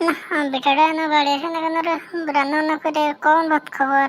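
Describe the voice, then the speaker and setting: A woman does a loud, cartoonish character voice, high in pitch and fairly even in intonation, at a fairly quick pace. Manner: loud, abusive scolding.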